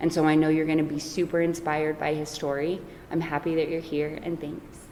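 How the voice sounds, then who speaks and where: A woman's very deep, low voice, fairly quick and monotone with flat intonation, over noticeable background noise. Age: 40s. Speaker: recovery speaker. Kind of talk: speaker introduction.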